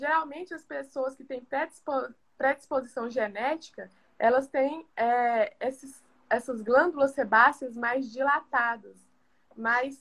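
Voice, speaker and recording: Delivery comes at a very slow pace with long, frequent pauses and big swings in loudness. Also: woman, high pitch for a woman, fairly even intonation. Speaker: pharmacist. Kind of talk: live stream health talk. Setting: video call live stream.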